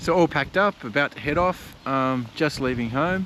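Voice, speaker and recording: A man speaks with an Australian accent and a fairly high pitch. His intonation is lively. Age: 60s. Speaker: adventure motorcyclist vlogger. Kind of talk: casual travel vlog.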